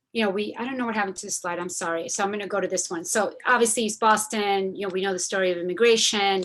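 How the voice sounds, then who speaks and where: Medium pitch from a woman, with fairly even intonation. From Argentina. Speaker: community advocate. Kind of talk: presentation. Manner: many fillers, casual.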